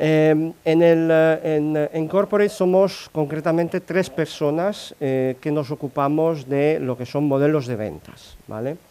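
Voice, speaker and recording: Speaking at a fairly slow pace with hardly any pauses, a man with a fairly high pitch and a dark, mellow tone uses ordinary pitch variation on a very clean recording with a silent background. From Italy. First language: Italian (speaking Spanish). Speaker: corporate sales modelling analyst. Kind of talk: conference talk. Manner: halting, many fillers.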